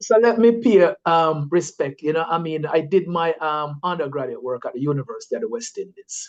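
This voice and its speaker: Delivered at a fairly quick pace, the speech carries lively intonation. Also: man, high pitch for a man. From Jamaica, St. Ann north coast. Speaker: scientist and environmental activist. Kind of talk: interview. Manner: casual, many fillers.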